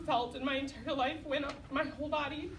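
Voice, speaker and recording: A woman with a high pitch is heard with audible room echo. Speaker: program graduate giving testimony. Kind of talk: testimony. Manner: loud.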